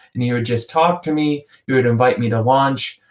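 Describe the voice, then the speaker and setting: A man with an American accent and a plain, everyday voice talks at medium pitch and a moderate pace with fairly even intonation. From US. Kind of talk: podcast conversation. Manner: casual, with many fillers.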